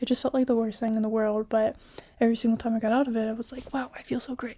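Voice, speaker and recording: Whispering at a fairly quick pace carries the whole clip. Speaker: college student. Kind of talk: casual talk to camera. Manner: whispery.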